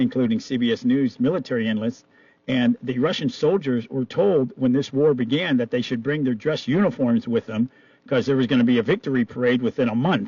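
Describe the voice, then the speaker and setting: With an ordinary speaking voice, a man talks fairly quickly at a medium pitch, with ordinary pitch variation and very even loudness. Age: 60s. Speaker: radio host. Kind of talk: radio interview.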